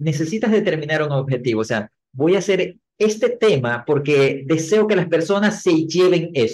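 This man has an ordinary speaking voice with a fairly high pitch. He talks at a moderate pace with lively intonation. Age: 40s. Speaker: marketing trainer and speaker. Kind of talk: interview.

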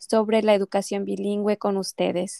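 With a Mexican accent, the speaker talks at a fairly slow pace in a dark, mellow tone with fairly even intonation, the sound dry and close with no echo. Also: woman. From Mexico. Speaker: language teacher, podcast co-host. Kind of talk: scripted educational podcast intro.

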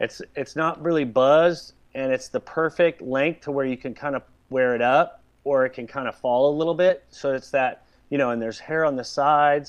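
Against a quiet background, a man talks at a moderate pace with a fairly high pitch and fairly even intonation. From Southern California. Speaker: celebrity hairstylist. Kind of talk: casual interview chat.

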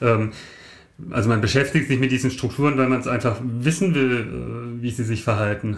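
At a moderate pace and medium pitch, a man speaks with fairly even intonation in a room with audible echo. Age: 50s. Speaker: mathematician and lay preacher. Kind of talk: casual chat. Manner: halting.

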